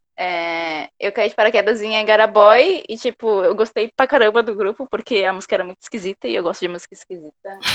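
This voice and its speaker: In an ordinary speaking voice, a woman talks at a fairly quick pace and a fairly high pitch with ordinary pitch variation, big swings in loudness and hardly any pauses, in a dry, close sound with no echo. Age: 20s. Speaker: fan fiction writer. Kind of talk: interview.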